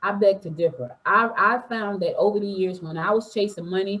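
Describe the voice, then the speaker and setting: The delivery is animated, fairly quick, and has ordinary pitch variation. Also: woman. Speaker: entrepreneur and podcaster. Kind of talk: interview. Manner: fast.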